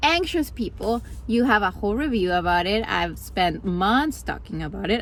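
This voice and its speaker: A woman talks in a Spanish accent, her speech moving at a moderate pace. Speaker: vlogger and graduate student. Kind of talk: casual vlog talk to camera. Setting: in a car.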